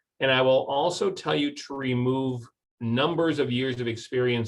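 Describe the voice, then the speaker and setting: With an American accent, a man speaks at a fairly slow pace and medium pitch, his intonation lively. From US Midwest, St. Paul, Minnesota. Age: 60s. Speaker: recruiter and career speaker. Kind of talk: webinar presentation and Q&A.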